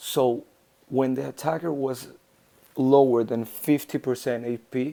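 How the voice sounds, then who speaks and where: A man with a non-native accent speaks at a fairly slow pace. His pitch is medium and his intonation fairly even. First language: not English. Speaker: mobile game video creator. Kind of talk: tutorial. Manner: halting.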